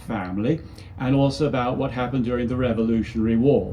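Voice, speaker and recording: Audible room echo and noticeable background noise surround a man's voice. He speaks fairly quickly with a British accent. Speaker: history professor. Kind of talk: history lecture.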